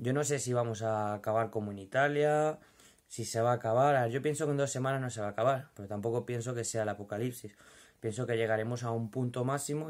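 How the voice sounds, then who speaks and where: A man rattles off his words very fast while his intonation stays fairly even. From Madrid, Spain. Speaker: vlogger, furniture company worker. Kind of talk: casual vlog monologue. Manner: informal, hesitant with fillers. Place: home room. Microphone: phone near.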